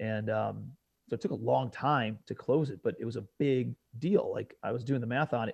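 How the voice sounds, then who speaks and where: A man speaks at a moderate pace in an American accent. His pitch varies an ordinary amount, and the background is quiet. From US Midwest, suburbs of Cleveland, Ohio. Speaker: real estate investor. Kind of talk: podcast interview. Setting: studio.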